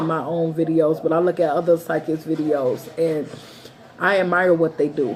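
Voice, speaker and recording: Fairly even intonation from a woman with a fairly low pitch, over noticeable background noise. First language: not English. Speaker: tarot reader and psychic. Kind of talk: monologue to viewers.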